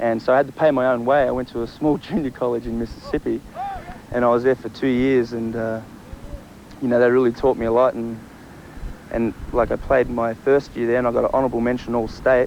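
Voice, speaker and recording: Through noticeable background noise, a man with an Australian accent talks at a very fast pace, medium in pitch, with monotone, flat intonation. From Australia, Sydney area. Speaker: college football player. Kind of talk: interview. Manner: casual, filler-heavy.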